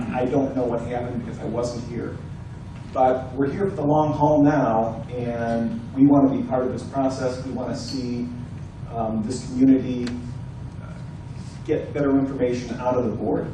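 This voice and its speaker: A man with an American accent talks at a moderate pace in a flat monotone, leaving long, frequent pauses, with audible room echo and noticeable background noise. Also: medium pitch for a man. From Ohio, Cleveland. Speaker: candidate for homeowners' board, retired attorney. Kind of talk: candidate speech at community forum. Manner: soft-spoken.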